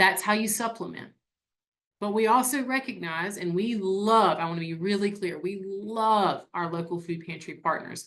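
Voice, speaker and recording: With ordinary pitch variation, the talking proceeds at a moderate pace. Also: woman, medium pitch for a woman. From upstate South Carolina. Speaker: nonprofit staff presenter. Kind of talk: webinar presentation. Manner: conversational, uses fillers.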